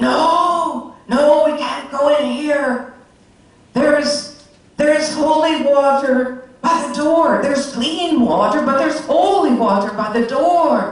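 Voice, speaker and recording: In a put-on character voice, the high-pitched speech moves at a fairly slow pace with strong echo. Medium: read story. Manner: commanding.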